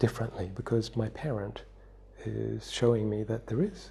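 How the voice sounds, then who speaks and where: A man is soft-spoken. He talks at a fairly slow pace. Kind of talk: soft-spoken wisdom talk for sleep and relaxation.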